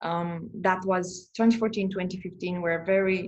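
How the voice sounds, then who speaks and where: With a Romanian accent, a woman talks at a moderate pace and a medium pitch. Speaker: astrologer and therapist. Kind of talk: interview conversation. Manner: halting, many repetitions.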